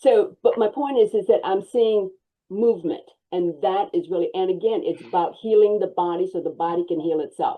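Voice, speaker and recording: A woman speaks at a moderate pace in an unremarkable speaking voice, her medium pitch rising and falling by ordinary amounts. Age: 60s. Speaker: wellness interview guest, former massage therapist. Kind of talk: casual interview.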